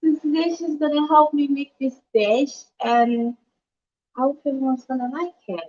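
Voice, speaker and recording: A woman's high-pitched voice at a moderate pace, dry and close with no echo. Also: ordinary pitch variation. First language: French. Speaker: chef. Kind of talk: cooking demonstration.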